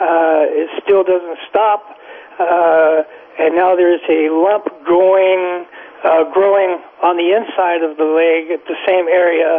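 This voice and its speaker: Speaking very slowly with an American accent, a man with a high pitch keeps a monotone, flat intonation and very even loudness over noticeable background noise. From California. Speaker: caller. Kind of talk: call-in health question. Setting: phone call. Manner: halting.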